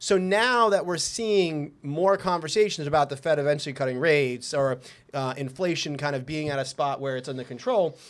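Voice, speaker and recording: Someone with a New York accent talks at a fairly quick pace with ordinary pitch variation. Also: man, fairly high pitch for a man. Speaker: mortgage lender. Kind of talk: casual chat. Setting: office. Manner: fast.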